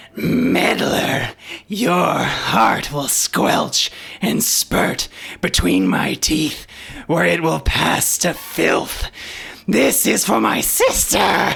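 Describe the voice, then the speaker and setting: Growling in a put-on character voice, a man speaks at a very slow pace with a fairly high pitch. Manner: menacing, vengeful.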